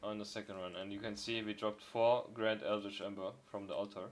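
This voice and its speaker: There is noticeable background noise as a man with a non-native accent speaks in a fairly low pitch with monotone, flat intonation. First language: not English. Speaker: video game streamer. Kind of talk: gameplay commentary. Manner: casual, hesitant with fillers.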